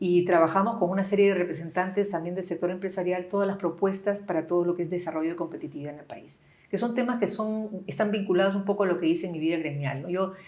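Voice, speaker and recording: A woman's medium-pitched voice at a very fast pace, fairly even in intonation, with hardly any pauses. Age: 60s. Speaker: business leader. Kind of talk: interview.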